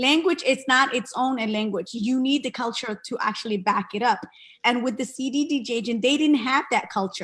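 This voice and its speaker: Using a Somali accent, a woman speaks at a moderate pace in a high pitch with ordinary pitch variation. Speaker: parent and bilingual school aide. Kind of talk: virtual town hall discussion. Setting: video call.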